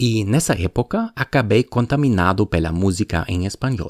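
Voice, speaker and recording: A man with a German accent, fairly low-pitched with lively intonation, at a moderate pace, the sound dry and close with no echo. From Germany. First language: German (speaking Portuguese). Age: 40s. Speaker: podcaster. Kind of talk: personal narration.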